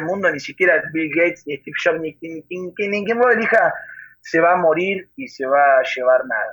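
A man with a high voice and lively intonation speaks at a moderate pace. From Argentina, central Buenos Aires province. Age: 20s. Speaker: singer-songwriter and guitarist. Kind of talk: interview.

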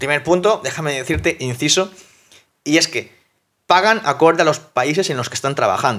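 On a very clean recording with a silent background, a man talks at a moderate pace in a bright, sharp, animated tone. His pitch is fairly high, with ordinary pitch variation. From South America. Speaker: fitness coach and podcast host. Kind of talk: motivational monologue.

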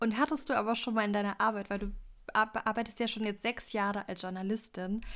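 An ordinary speaking voice from a woman, fairly high in pitch and fairly even in intonation, on a very clean recording with a silent background. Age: young. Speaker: podcast host and journalist. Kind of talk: casual interview.

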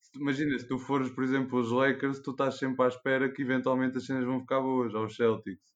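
A man speaks at a very fast pace with hardly any pauses, his medium pitch in a monotone, flat intonation. The background is quiet. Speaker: veterinary student. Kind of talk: casual chat.

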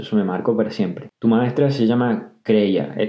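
A man's voice at a moderate pace with fairly even intonation and audible room echo. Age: 20s. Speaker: podcaster. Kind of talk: personal storytelling. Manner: casual.

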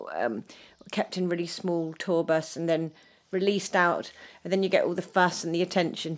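A woman speaks in a fairly low pitch with a southern English accent. Her pace is moderate and her intonation fairly even. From southern England (Dorset), shaped in London. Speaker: former professional dancer. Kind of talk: casual chat.

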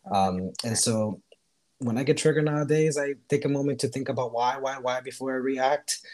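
An American accent from a man, delivered at a fairly quick pace. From Miami, Florida (born Costa Rica). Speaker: podcast guest. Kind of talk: casual chat.

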